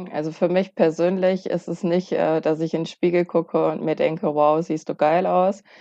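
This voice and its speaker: A woman speaks at a fairly low pitch in a dark, mellow tone. Her intonation is monotone and flat, over a quiet background. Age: 30s. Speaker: bodybuilding athlete and fitness coach. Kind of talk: casual chat.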